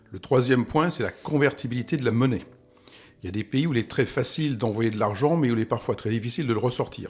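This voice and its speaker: A man speaks at a very fast pace, his voice somewhat breathy. The recording is very clean, with a silent background. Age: 60s. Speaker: property investment expert, expatriate. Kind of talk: podcast interview.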